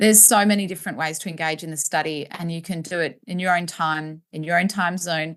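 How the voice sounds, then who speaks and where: Against a quiet background, a woman with an Australian accent speaks at a fairly quick pace, her fairly low voice keeping a fairly even intonation. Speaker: postpartum educator and business owner. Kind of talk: interview. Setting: podcast. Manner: fast.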